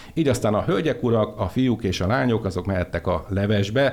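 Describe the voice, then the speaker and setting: A man with a normal speaking voice talks at a fairly low pitch and a moderate pace, with ordinary pitch variation. The recording is very clean, with a silent background. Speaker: radio host. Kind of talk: radio talk show. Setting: studio.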